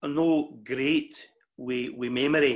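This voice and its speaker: A man with a Scottish accent speaks at a fairly high pitch with fairly even intonation against a quiet background. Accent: Ayrshire Scots. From Scotland, New Cumnock, Ayrshire; Scotland. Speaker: mental health worker and club speaker; interviewee. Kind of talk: interview. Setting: video call. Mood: warm, reminiscing. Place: home room. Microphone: video call.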